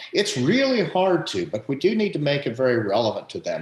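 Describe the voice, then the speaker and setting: At a moderate pace, a man speaks with very wide pitch swings. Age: 60s. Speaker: economist and academic. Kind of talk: panel discussion.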